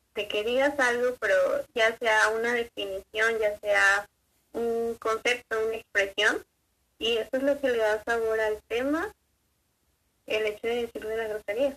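The sound is dry and close with no echo as a woman speaks at a fairly slow pace in a bright, sharp tone with fairly high pitch. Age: young. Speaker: student. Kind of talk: casual chat.

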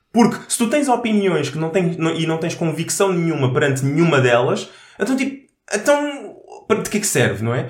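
With audible room echo, a high-pitched man talks at a moderate pace, his pitch swinging very widely. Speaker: podcast co-host. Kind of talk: casual chat.

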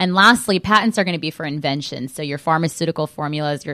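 With an American accent, a woman speaks in a bright, sharp tone at a very deep, low pitch with ordinary pitch variation, recorded very cleanly against a silent background in a dry, close sound with no echo. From Southern California. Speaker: trademark lawyer. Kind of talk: radio interview. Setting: studio.

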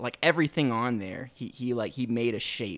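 A man speaks in an unremarkable speaking voice at medium pitch and a moderate pace, with ordinary pitch variation. The recording is very clean, with a silent background. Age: 20s. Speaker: podcast co-host. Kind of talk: casual chat.

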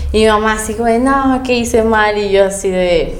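Speaking at a fairly slow pace with fairly even intonation, a woman with a fairly high pitch is heard amid audible room echo and noticeable background noise. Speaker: content creator and university student. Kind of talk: casual chat.

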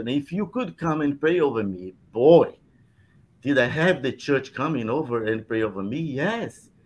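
A man with a Brazilian Portuguese accent talks at a moderate pace and a fairly high pitch. His intonation is lively against a quiet background. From southern Brazil. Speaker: Salvation Army officer and pastor. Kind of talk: casual chat.

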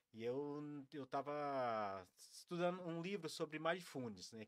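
A man speaks at a fairly slow pace, his medium-pitched voice carrying lively intonation. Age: 40s. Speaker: mindfulness and breathing practitioner. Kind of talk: casual interview on a live stream.

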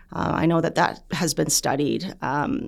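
On a very clean recording with a silent background, the speaker has a Canadian accent, vocal fry and ordinary pitch variation. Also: woman. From Canada. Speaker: physician and researcher. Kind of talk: interview.

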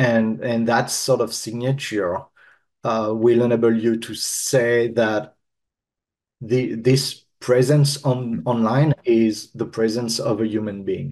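With a French accent, a man speaks at a very slow pace, at medium pitch, with ordinary pitch variation. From France. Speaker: marketing consultant. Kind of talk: casual chat.

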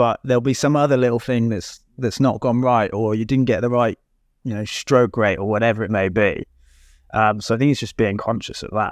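At a fairly quick pace, a man speaks in an ordinary speaking voice at medium pitch, with fairly even intonation. The background is quiet. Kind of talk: casual panel chat.

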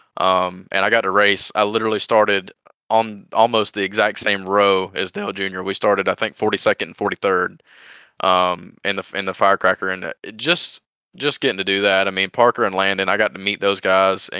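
A man's fairly low, flat monotone with a Southern US accent, at a fairly quick pace. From Georgia. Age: 20s. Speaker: sim racing driver. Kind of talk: casual interview.

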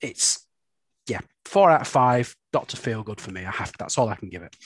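A man with a Lancashire accent talks at a moderate pace in a medium pitch. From Bolton, northern England. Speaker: podcast co-host. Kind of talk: casual chat.

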